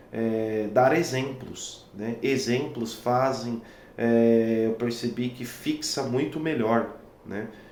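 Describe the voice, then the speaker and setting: A man at a very slow pace, with audible room echo. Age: 30s. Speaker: violinist and music teacher. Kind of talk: talking-head tutorial. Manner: hesitant, many fillers.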